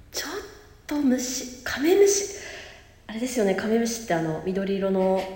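Amid noticeable background noise and audible room echo, a woman with a fairly high pitch and very wide pitch swings talks at a moderate pace with long, frequent pauses. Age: 30s. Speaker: podcast co-host. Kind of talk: casual chat.

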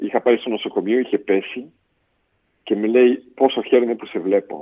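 A man speaks at a moderate pace in an unremarkable speaking voice. His pitch sits in the medium range. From Belgium, Brussels. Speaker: politician. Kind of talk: interview testimony.

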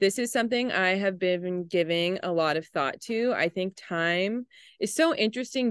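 A woman talks fairly slowly in an ordinary speaking voice at medium pitch, with ordinary pitch variation, a dry, close sound with no echo and a quiet background. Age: 20s. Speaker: podcast host. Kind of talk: casual chat.

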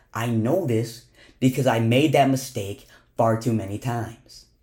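At a moderate pace, a man with an unremarkable speaking voice talks at a medium pitch with ordinary pitch variation. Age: young. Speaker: podcast host. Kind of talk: motivational monologue.

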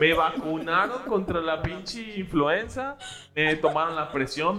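Over noticeable background noise, a man with a high voice talks at a fairly slow pace. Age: 20s. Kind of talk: casual chat.

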